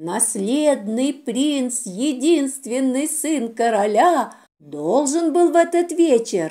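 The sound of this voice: On a very clean recording with a silent background, a woman with a fairly high pitch and a dark, mellow tone speaks slowly with lively intonation.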